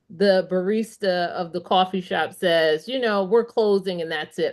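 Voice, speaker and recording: A woman talks in a medium pitch at a fairly slow pace, with ordinary pitch variation and an unremarkable speaking voice. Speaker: author and business consultant. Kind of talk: interview answer, storytelling.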